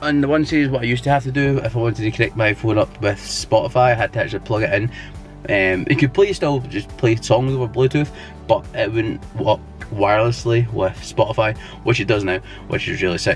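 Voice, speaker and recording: Over background music, a man with a Scottish accent speaks at a fairly quick pace, with a medium pitch and ordinary pitch variation. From Scotland. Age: 20s. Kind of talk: casual talk to camera. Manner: casual, hesitant.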